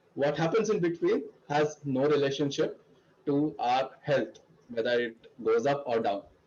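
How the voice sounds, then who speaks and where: Here a man speaks at a fairly high pitch with ordinary pitch variation. His loudness stays very even. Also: moderate pace. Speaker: club president. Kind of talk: opening speech. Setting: video call.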